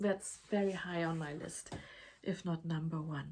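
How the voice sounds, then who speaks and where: Her voice is fairly low for a woman and somewhat breathy. The pitch varies in an ordinary way. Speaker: crochet podcaster. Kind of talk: casual talk to camera.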